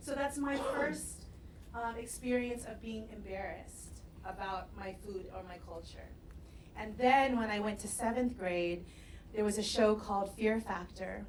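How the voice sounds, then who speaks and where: Speaking at a fairly slow pace with an American accent, a woman with a fairly high voice shifts widely in loudness, heard with audible room echo and noticeable background noise. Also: ordinary pitch variation. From US West Coast, San Diego. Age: 40s. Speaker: restaurateur. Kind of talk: talk to audience. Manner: casual, with frequent fillers.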